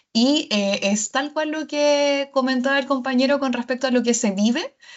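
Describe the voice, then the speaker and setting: Lively intonation at a fairly slow pace, in a Chilean accent. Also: woman. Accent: Chilean, noticeable. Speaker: university innovation staff. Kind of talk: online workshop discussion.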